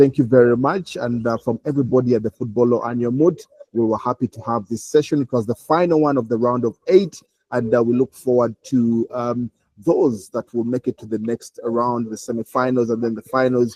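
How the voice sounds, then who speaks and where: A man talks at a fairly quick pace in a dark, mellow tone. The sound is dry and close, with no echo. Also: medium pitch for a man, ordinary pitch variation. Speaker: moot court session facilitator. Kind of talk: closing remarks. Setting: video call. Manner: fast.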